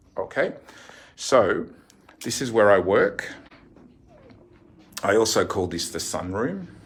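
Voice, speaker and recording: A man with an Australian accent and fairly even intonation. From Australia, Sydney. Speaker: fortune teller and card reading teacher. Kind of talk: casual tour and tutorial. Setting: in own shop by the sea.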